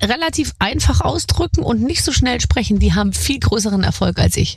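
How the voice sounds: A woman talks at a fairly quick pace in a fairly high voice with a slightly husky edge. Her intonation is lively.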